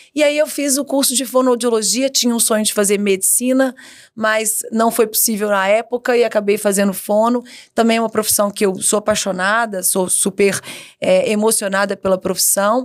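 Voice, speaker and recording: At a moderate pace, a woman with a fairly high pitch and an ordinary speaking voice talks in a very clean recording with a silent background. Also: fairly even intonation. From Brazil, Minas Gerais (Itabira). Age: 40s. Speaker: education executive. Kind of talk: podcast interview.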